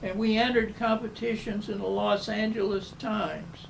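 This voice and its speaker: With a Southern US accent, a man speaks fairly slowly at a high pitch with fairly even intonation, amid audible room echo and noticeable background noise. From US South. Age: 90s. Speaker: architect. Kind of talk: interview. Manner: halting.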